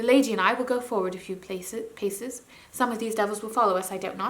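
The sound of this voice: An unforced reading voice shifts in pitch in an ordinary way.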